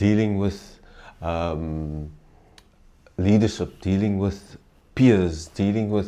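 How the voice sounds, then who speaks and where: Very slow speech in a South African accent, with fairly even intonation and long, frequent pauses. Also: man, fairly low pitch for a man. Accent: Afrikaans South African English. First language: Afrikaans. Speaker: former volleyball player and mentor. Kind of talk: interview. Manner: halting.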